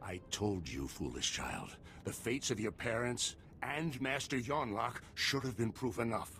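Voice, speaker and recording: Someone talks in a put-on character voice at a moderate pace. Background noise is clearly audible. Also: man, medium pitch for a man. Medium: video game.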